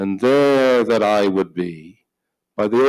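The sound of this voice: Quiet background, unforced reading voice, ordinary pitch variation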